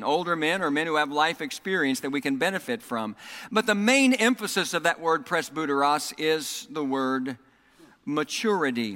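Bright and sharp in tone, a man with a Southern US accent and fairly high pitch speaks at a moderate pace on a very clean recording with a silent background. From US South, Oklahoma and Texas. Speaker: pastor. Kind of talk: sermon. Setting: church.

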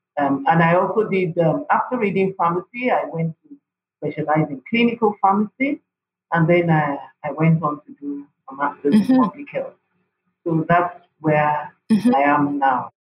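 Spoken at a moderate pace in a Nigerian accent, the voice shows big swings in loudness. Music plays in the background. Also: woman, fairly low pitch for a woman, lively intonation. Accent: Nigerian (Yoruba) English. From Nigeria (Yoruba, Osun State). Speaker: pharmacist and public health NGO leader. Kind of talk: interview.

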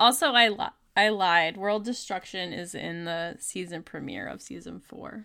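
A woman with an American accent speaks at a moderate pace and a medium pitch with ordinary pitch variation. Her tone is bright and sharp with vocal fry, on a very clean recording with a silent background. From New Jersey. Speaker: podcast guest. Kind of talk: casual chat.

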